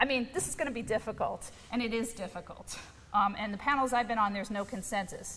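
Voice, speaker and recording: A woman at a fairly quick pace, with an American accent. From New York. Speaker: academic researcher. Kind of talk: lecture. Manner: fast.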